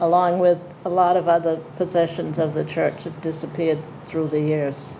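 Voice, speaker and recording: A woman with an American accent speaks at a fairly low pitch and a moderate pace, in a monotone, flat intonation. Noticeable background noise and audible room echo fill the recording. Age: 80s+. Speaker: town elder. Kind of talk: panel discussion. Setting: town hall with audience.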